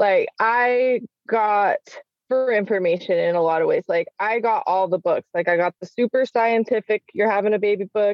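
With an American accent, a woman with a normal speaking voice and a fairly high pitch talks at a moderate pace, using ordinary pitch variation. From Salt Lake City, Utah. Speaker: stay-at-home mom, educator and entrepreneur. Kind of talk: casual chat.

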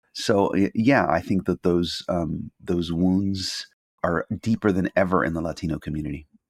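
Recorded very cleanly against a silent background, with a dry, close sound and no echo, a man with a Californian accent speaks in a very deep, low voice at a moderate pace with ordinary pitch variation. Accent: Californian American English. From Los Angeles, US. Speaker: journalist and professor. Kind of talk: interview conversation.

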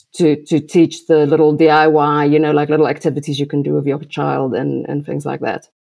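Speaking with vocal fry and a monotone, flat intonation, a woman has a very deep, low pitch. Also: fairly quick pace. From South Africa. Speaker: designer and aspiring business owner. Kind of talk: coaching call.

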